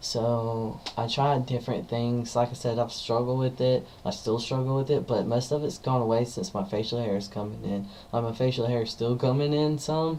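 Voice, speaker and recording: A man at a moderate pace with hardly any pauses and fairly even intonation, over noticeable background noise. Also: medium pitch for a man. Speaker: vlogger. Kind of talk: personal vlog monologue. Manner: hesitant, many fillers.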